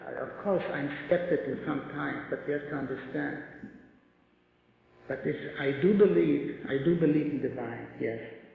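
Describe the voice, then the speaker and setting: Speech comes at a moderate pace with long, frequent pauses, over noticeable background noise and audible room echo. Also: man. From Poland. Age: 70s. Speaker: Holocaust survivor speaker. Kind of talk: testimony with Q&A. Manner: halting, repeats words.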